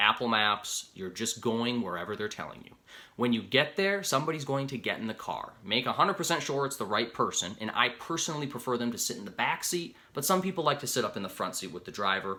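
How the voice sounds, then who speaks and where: A man with an American accent talks at a fairly quick pace with hardly any pauses, using a bright, sharp tone and lively intonation. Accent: Upper Midwest, heard by others as Canadian. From Upper Peninsula of Michigan. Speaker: rideshare driver and video creator. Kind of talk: tutorial. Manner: casual, conversational.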